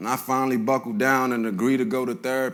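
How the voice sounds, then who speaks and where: A man with an American accent at a fairly quick pace. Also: very clean recording, silent background. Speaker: spoken word poet. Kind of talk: spoken word poetry performance. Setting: live stage. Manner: intense, emotional.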